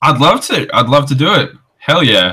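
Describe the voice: A man speaks at medium pitch with big pitch swings, a bright, sharp tone with a slightly husky edge, and a moderate pace.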